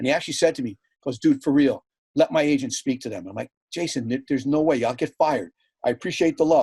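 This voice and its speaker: A dark, mellow tone at a very fast pace, captured in a very clean recording over a silent background. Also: man, fairly high pitch for a man, ordinary pitch variation, dry, close sound with no echo. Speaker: PA announcer and team vice president. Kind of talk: casual podcast interview answer, storytelling.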